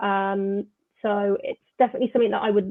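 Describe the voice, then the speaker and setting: A woman with a slight Birmingham accent speaks at a fairly quick pace and fairly high pitch, her intonation monotone and flat. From England, Birmingham. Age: 20s. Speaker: football journalist. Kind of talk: interview. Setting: live online show.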